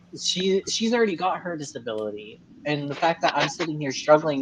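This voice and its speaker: A plain, everyday voice from a man, fairly high-pitched and fairly quick, with lively intonation. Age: 20s. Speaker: guest on live stream talking about his health. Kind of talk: casual chat.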